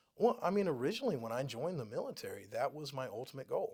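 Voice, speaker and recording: Talking in a Texan accent, a man uses ordinary pitch variation. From Texas (San Antonio area). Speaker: real estate agent, Air Force veteran. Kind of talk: casual interview. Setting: studio. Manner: hesitant, many fillers.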